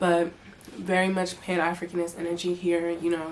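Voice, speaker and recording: A woman with an American accent speaks in an animated tone. Noticeable background noise can be heard. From US (Charlotte, North Carolina), Togolese parents, first years in Togo. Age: 20s. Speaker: YouTuber. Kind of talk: casual vlog chat.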